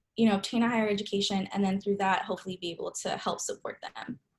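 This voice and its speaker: A woman's somewhat breathy, medium-pitched voice with monotone, flat intonation. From Southern California (Santa Ana). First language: Spanish. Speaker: grad student, guest speaker. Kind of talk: talk to a class on video call. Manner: casual, frequent fillers.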